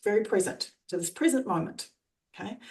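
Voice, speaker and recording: Speaking at a fairly quick pace, a woman with an Australian accent has a medium pitch and lively intonation. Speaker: trainer and coach. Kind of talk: coaching explanation.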